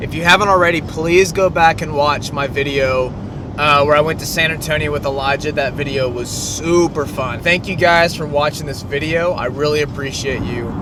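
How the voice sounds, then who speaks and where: Speech comes at a moderate pace with ordinary pitch variation. Audible room echo and noticeable background noise fill the recording. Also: man, fairly high pitch for a man. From Texas, Waco. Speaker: vlogger. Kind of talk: vlog monologue. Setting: outdoors in front of a mural.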